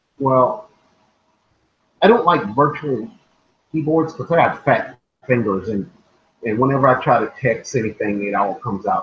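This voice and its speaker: Somewhat breathy and with lively intonation, the speaker talks in an American accent with long, frequent pauses. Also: man, medium pitch for a man. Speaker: podcast co-host. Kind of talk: casual chat. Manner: halting.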